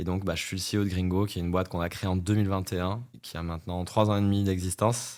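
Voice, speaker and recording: A plain, everyday voice from a man, fairly low in pitch, fairly quick in pace, with fairly even intonation. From France, Corrèze. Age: 30s. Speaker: startup CEO. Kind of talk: podcast interview.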